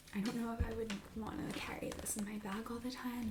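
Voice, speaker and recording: A soft-spoken woman with a fairly high pitch talks at a moderate pace, with ordinary pitch variation. Noticeable background noise is present. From Italian-American, Philadelphia. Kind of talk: ASMR roleplay as a used bookstore clerk.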